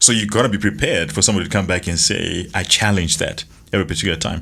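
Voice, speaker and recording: A man speaks very fast with a bright, sharp tone. His pitch is fairly low, and vocal fry runs through his voice. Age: middle-aged. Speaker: podcast co-host. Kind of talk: casual chat. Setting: studio.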